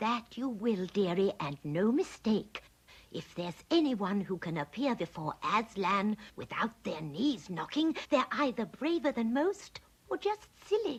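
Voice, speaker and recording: A put-on character voice, female-sounding and fairly high in pitch. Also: fairly slow pace. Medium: fan dub. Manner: cosy, motherly, calls others dearie.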